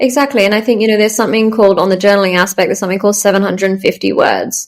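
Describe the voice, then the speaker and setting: Talking very fast, a woman keeps her medium-pitched voice fairly even in intonation. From Australia, Melbourne. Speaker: startup founder. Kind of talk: interview.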